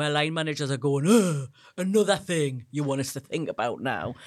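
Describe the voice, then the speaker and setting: A woman's fairly quick speech on a very clean recording with a silent background. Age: 50s. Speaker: menopause educator. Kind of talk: interview.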